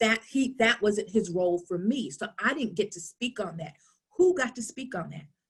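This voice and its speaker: A woman with a New York accent speaks in an animated tone, somewhat breathy. Her intonation is lively and her loudness swings widely. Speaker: workshop presenter on social emotional learning. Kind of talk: online workshop talk.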